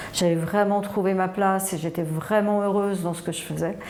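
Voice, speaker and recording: Noticeable background noise and audible room echo around a woman talking at a moderate tempo. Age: 60s. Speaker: chocolate mousse entrepreneur. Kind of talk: personal testimony.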